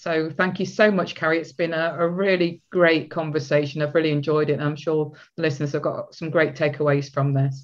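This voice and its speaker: Fairly quick and with hardly any pauses, a woman talks in a British accent. Her pitch is very deep and low. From UK. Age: 60s. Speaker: podcast host, relationship coach. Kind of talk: interview.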